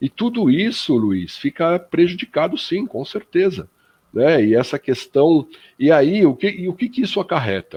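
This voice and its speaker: A man with a fairly high pitch talks at a fairly slow pace, his pitch swinging very widely. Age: 60s. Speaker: spiritist radio panelist. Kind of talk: radio panel discussion. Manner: hesitant, many fillers.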